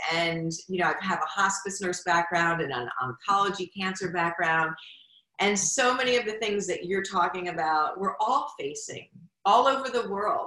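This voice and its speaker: An unremarkable speaking voice moves at a moderate pace. The intonation is lively. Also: woman, medium pitch for a woman. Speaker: podcast host and nurse. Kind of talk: interview. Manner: warm.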